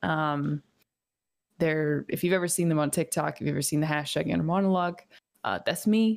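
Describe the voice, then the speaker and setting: Soft-spoken and very even in loudness, a woman with a very deep, low pitch talks fairly quickly, with long, frequent pauses. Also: ordinary pitch variation. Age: 20s. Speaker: Twitch streamer. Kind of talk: casual interview chat. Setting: video call.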